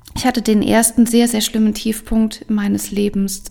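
At a fairly slow pace, a woman speaks in a fairly high pitch with a dark, mellow tone that is somewhat breathy. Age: 30s. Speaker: podcast host and coach. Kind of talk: personal testimony monologue. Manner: animated.

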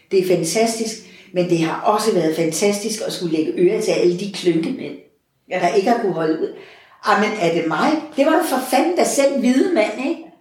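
A woman's voice makes very wide pitch swings. Audible room echo can be heard. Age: 60s. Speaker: parish priest. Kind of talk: interview conversation.

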